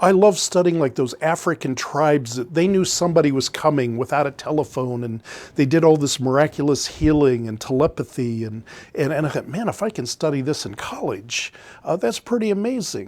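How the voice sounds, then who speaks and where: Speaking with an American accent, a man uses lively intonation and a fairly high pitch. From US Midwest, Canton, Ohio. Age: 60s. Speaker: former industrial salesperson, small business owner. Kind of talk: interview storytelling. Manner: halting, many fillers.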